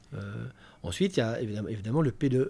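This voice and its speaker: Fairly quick in pace, a man speaks with a dark, mellow tone. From Belgium, Namur. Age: 30s. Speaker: retail sustainability manager. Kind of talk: interview. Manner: halting, many fillers and repetitions.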